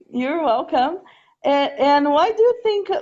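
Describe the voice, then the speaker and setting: With a Portuguese accent, a woman talks in very wide pitch swings. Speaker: language teacher. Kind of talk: casual chat.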